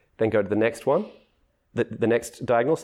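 Dark and mellow in tone, a man with an Australian accent speaks at a medium pitch with ordinary pitch variation. The recording is very clean, with a silent background. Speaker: philosopher of mathematics. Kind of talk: interview conversation. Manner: halting, many restarts.

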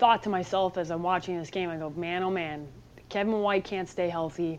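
With a Chicago accent, a woman with a fairly low pitch talks at a fairly quick pace. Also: quiet background. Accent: Chicago Midwestern. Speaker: sports journalist. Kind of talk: casual chat.

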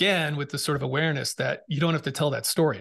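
Against a quiet background, a man with an American accent talks at a fairly quick pace, his fairly high pitch touched with vocal fry. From Massachusetts, Boston area. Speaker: podcast host and former Navy SEAL, mental fitness speaker. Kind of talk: interview conversation. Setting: video call.

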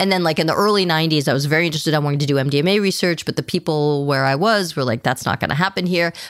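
Very fast delivery with an American accent, hardly any pauses and very even loudness. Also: woman, very deep, low pitch for a woman, ordinary pitch variation. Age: 50s. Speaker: psychiatrist and author. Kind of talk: interview.

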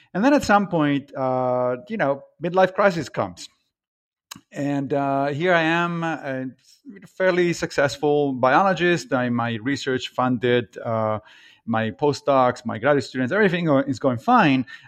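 Fairly slow delivery with lively intonation. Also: man, fairly high pitch for a man. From Italy (Rome). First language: Italian. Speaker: philosophy professor. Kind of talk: interview. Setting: remote call.

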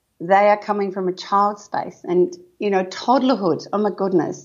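With an Australian accent, a woman keeps her speech at a moderate pace. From Western Australia wheat belt. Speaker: parenting author and educator. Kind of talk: casual interview chat. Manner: energetic, animated.

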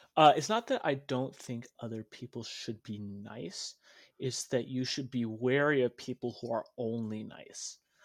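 A man with an American accent and a normal speaking voice, medium in pitch and fairly slow in pace, on a very clean recording with a silent background. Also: ordinary pitch variation, dry, close sound with no echo. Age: 20s. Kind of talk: casual interview chat. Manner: joking, playful.

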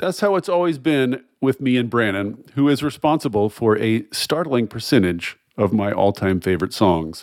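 Pitch swings very widely while loudness stays very even, at a moderate pace with hardly any pauses, in a very clean recording against a silent background. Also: man, medium pitch for a man. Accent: American. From US South. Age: 50s. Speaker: podcast host. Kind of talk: interview. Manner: animated.

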